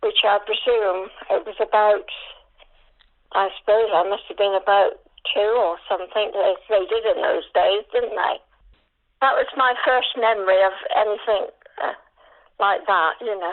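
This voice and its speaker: Speaking at a moderate pace, a woman in a West Country accent leaves long, frequent pauses. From Dorset, England. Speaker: older interviewee recalling memories. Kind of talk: oral history interview. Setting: phone call.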